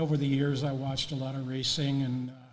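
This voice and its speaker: A man talks in an American accent at a fairly high pitch. His intonation is monotone and flat, with audible room echo. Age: 70s. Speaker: racing photographer. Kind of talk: interview. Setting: on-site at hall of fame. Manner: halting, many fillers.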